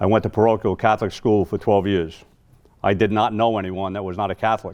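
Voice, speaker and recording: A man with a New York accent speaks very fast at a fairly low pitch, his intonation monotone and flat. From New York City, Queens. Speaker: Vietnam-era army veteran, keynote speaker. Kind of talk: memorial speech, personal testimony.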